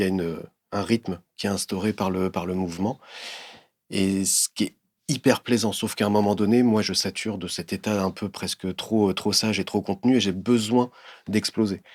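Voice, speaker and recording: A man with a fairly low pitch talks at a moderate pace with fairly even intonation, the sound dry and close with no echo and the recording very clean with a silent background. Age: 50s. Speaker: visual artist. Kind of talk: interview monologue. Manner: hesitant, many fillers and repetitions.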